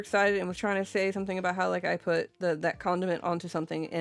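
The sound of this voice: A woman keeps her intonation fairly even as music plays behind her. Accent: Southern US.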